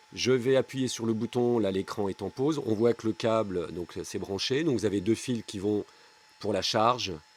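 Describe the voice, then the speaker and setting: Noticeable background noise surrounds a man's voice. His pitch is medium, with ordinary pitch variation. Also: moderate pace, dry, close sound with no echo. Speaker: DIY electronics youtuber. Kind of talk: tutorial. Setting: garage basement. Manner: hesitant, with fillers.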